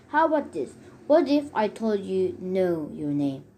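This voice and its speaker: A raspy, female-sounding put-on character voice at a middle pitch moves at a moderate pace with very wide pitch swings. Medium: read story. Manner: bossy, sarcastic.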